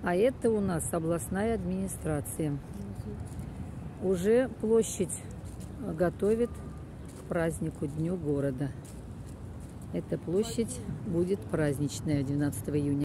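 Very slowly and with long, frequent pauses, a woman speaks at a very deep, low pitch in a dark, mellow tone with vocal fry and very wide pitch swings. The sound is dry with no echo, but there is noticeable background noise. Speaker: local walking guide. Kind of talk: casual guided-tour commentary. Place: street. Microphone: phone near.

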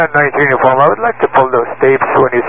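A man at a fairly quick pace, in a dry sound with no echo. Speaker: flight instructor pilot. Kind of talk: radio exchange, argumentative. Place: plane. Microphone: two way radio.

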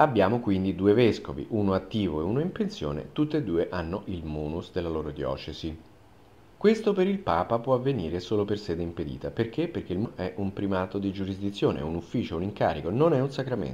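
Fairly quick and fairly low-pitched, a man speaks in a dark, mellow tone with very wide pitch swings. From Italy. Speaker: journalist. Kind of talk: open video appeal. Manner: formal. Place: studio.

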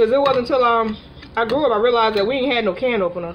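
A woman is speaking. There is loud noise in the background. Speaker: cooking vlogger. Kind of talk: cooking tutorial. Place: kitchen. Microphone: phone near.

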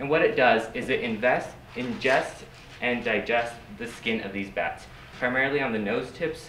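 A man speaks with ordinary pitch variation amid audible room echo and light background noise. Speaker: presenter. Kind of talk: lecture. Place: classroom. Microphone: camera far.

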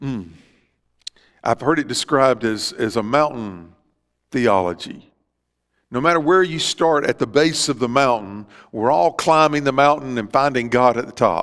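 A man with a Southern US accent, lively intonation and a moderate pace, broken by long, frequent pauses. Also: quiet background. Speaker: Baptist pastor. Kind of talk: church sermon. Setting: church service with live congregation. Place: church.

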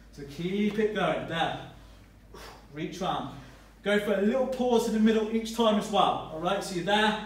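There is light background noise and audible room echo. A high-pitched man speaks at a moderate pace with fairly even intonation. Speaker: fitness trainer. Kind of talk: workout tutorial. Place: gym. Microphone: camera far.

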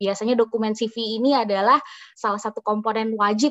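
Against a quiet background, a woman with a fairly high pitch talks at a moderate pace in a plain, everyday voice. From Indonesia. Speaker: doctor and public health officer; webinar speaker. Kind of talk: tutorial. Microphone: video call.

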